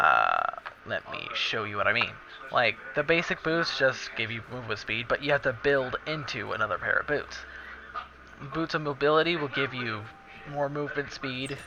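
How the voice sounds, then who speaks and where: A man with a fairly high pitch talks at a moderate pace, using ordinary pitch variation. Noticeable background noise is present. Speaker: gamer. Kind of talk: tutorial. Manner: halting.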